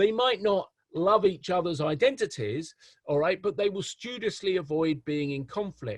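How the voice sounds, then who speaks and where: A man with an English accent, high pitch, lively intonation and a moderate pace. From England. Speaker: professor. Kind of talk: lecture. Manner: hesitant, many repetitions and fillers.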